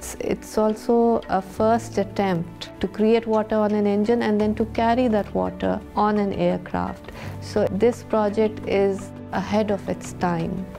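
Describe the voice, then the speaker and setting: Over clear background music, a woman talks at a fairly slow pace. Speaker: aerospace engineer, company founder. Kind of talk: interview answer. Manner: soft-spoken. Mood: soft-spoken, calm. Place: home room.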